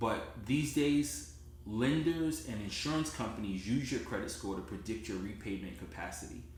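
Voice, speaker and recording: In a New Jersey accent, a man speaks at a moderate pace and a medium pitch, with vocal fry. His pitch swings very widely. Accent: New Jersey American. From US Northeast, Newark, New Jersey. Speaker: credit repair consultant. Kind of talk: sales pitch. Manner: direct, conversational.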